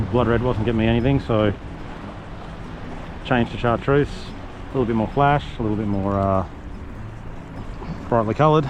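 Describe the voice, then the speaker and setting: A man with a medium-pitched voice talks at a moderate pace with fairly even intonation and long, frequent pauses over noticeable background noise. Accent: Australian. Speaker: fishing vlogger. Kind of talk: on-location vlog commentary. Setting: outdoors on a river. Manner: casual, hesitant with fillers.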